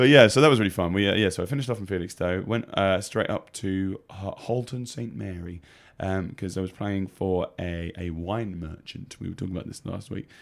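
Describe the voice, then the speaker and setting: A man's very deep, low voice with an English accent, ordinary pitch variation and big swings in loudness. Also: fairly quick pace. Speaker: radio co-host and gigging singer. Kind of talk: casual chat. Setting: radio studio. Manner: jokey, laughs often.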